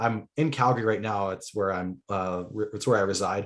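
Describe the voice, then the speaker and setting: A man with a Canadian accent talks with an unremarkable speaking voice at a fairly low pitch. His pitch variation is ordinary, and the background is quiet. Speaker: football podcast guest, sports writer. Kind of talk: casual chat.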